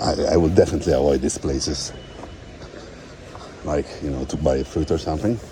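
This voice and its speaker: The speaker moves at a fairly quick pace with ordinary pitch variation and long, frequent pauses, amid noticeable background noise. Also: man, very deep, low pitch for a man. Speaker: travel vlogger. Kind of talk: walking tour vlog. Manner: fast.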